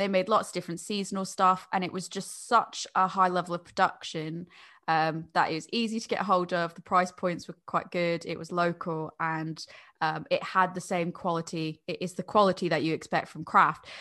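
A woman with an American accent has a fairly low pitch and a bright, sharp tone. Her loudness swings widely. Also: fairly even intonation, moderate pace, quiet background. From United States. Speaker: beer podcaster. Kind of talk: casual chat.

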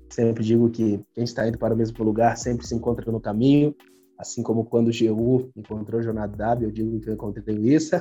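Talking at a fairly quick pace, a man of medium pitch has a dark, mellow tone and fairly even intonation. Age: 20s. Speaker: pastor. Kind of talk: casual chat.

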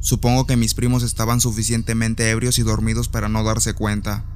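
Music runs in the background. A man talks fairly quickly. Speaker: podcaster telling a personal story. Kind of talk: ghost story telling, first-person spooky tale told as a true experience.

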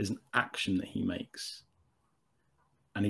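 Somewhat breathy, a man speaks at a moderate pace. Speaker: writer. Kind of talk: casual chat. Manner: halting.

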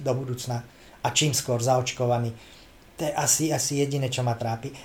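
A man talks fairly quickly at a medium pitch in a monotone, flat delivery. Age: 50s. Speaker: comedian. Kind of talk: casual chat.

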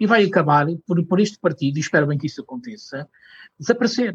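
Lively in intonation, a man speaks at a fairly quick pace with a dry, close sound and no echo. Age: 40s. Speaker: cultural mediator. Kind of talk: interview. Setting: studio.

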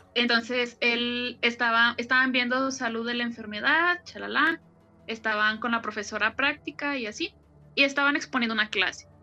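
A woman speaks with a high pitch and a bright, sharp tone. Her pace is moderate and her pitch varies in an ordinary way. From Guadalajara, Mexico. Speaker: podcast co-host. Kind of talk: casual chat with storytelling.

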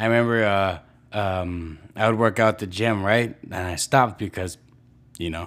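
At a moderate pace and with fairly even intonation, a man talks in a very clean recording with a silent background. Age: 20s. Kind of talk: casual solo monologue. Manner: hesitant, many fillers.

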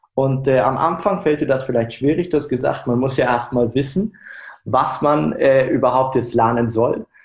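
A man speaks in a somewhat breathy voice at a medium pitch and a moderate pace. His loudness stays very even, with ordinary pitch variation. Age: 20s. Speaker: startup founder. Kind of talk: interview.

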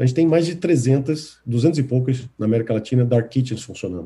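At a fairly quick pace, the speech carries a dark, mellow tone that is somewhat breathy. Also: man. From Brazil, Recife (Pernambuco). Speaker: tech company executive. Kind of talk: interview.

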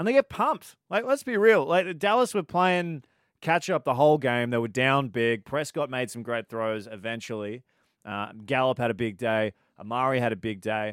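A man with an Australian accent and lively intonation, on a very clean recording, with a silent background and a dry, close sound with no echo. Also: medium pitch for a man, moderate pace. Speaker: podcast co-host. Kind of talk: casual sports chat.

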